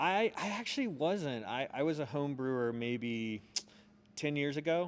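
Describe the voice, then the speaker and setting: Using an ordinary speaking voice with an American accent, a man talks at a fairly high pitch with lively intonation. His pace is fairly slow. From US South, Charlotte, North Carolina. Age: 40s. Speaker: arts marketing director and urban development advocate. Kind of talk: casual interview chat. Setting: on location in a museum.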